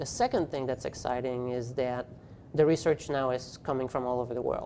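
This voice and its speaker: This man's medium-pitched voice has a dark, mellow tone and a monotone, flat intonation. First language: French. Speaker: physical therapy professor and journal editor. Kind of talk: interview. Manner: hesitant with fillers.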